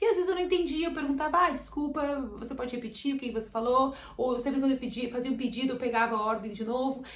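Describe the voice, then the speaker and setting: A woman talks very fast in a high voice with hardly any pauses, animated and with ordinary pitch variation. Audible room echo surrounds her. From Brazil. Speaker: vlogger. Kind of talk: casual chat.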